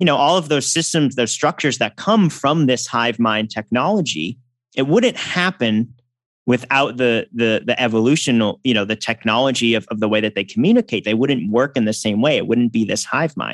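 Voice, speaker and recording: A man speaks at medium pitch and a moderate pace in an unremarkable speaking voice with ordinary pitch variation. The very clean recording has a silent background and a dry, close sound with no echo. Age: 30s. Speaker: musician and electrical engineer. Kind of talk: interview conversation.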